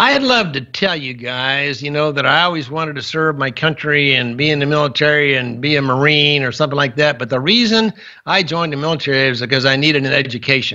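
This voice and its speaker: Speaking with an American accent, a man talks at a very fast pace with hardly any pauses. His pitch is fairly high, with ordinary pitch variation. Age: 70s. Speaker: war veteran, former POW. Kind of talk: podcast interview. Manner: halting, many fillers and restarts.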